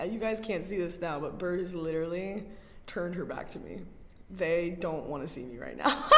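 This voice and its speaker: A woman with an American accent talks at a fairly quick pace and a fairly low pitch. Noticeable background noise and audible room echo are present. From US South, North Carolina. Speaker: art student. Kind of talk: casual chat. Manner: animated.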